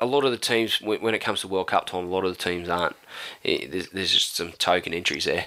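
Bright and sharp in tone, a man with a very deep, low pitch talks at a fairly quick pace in an Australian accent, with ordinary pitch variation. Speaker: podcast co-host. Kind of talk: casual chat.

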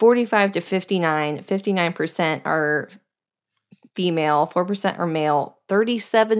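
Moving at a moderate speed, an ordinary speaking voice shows ordinary pitch variation. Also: woman. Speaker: podcast co-host. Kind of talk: casual chat.

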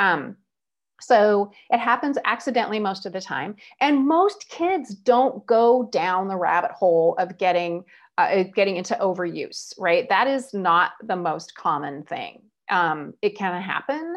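At a fairly slow pace, a woman speaks at a medium pitch with lively intonation over a quiet background. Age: 50s. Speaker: sex educator. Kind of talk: interview. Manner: lively, down-to-earth.

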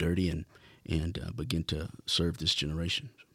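Very deep, low pitch from a man with a West Texas accent, fairly even intonation and a moderate pace, in a very clean recording with a silent background and a dry, close sound with no echo. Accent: West Texas American. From Texas, Lubbock. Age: 30s. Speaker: admissions advisor. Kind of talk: casual chat. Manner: halting.

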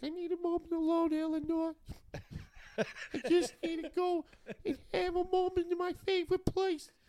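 A put-on character voice pitched extremely high. It keeps a moderate pace. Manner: mock-sad, mopey.

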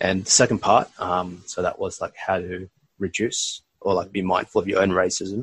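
A man speaks with an Australian accent at a fairly slow pace. The sound is dry and close, with no echo. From Australia (rural NSW and southwest Sydney), Bangladeshi family. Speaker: podcast host. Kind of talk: casual chat.

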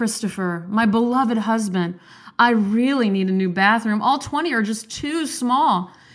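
The clip is reading aloud. It uses a natural voice.

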